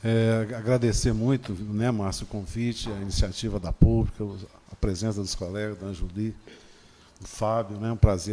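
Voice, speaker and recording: At a moderate pace, a man speaks with a fairly low pitch and a dark, mellow tone. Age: 60s. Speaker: legislative consultant. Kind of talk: panel debate closing statement. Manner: halting.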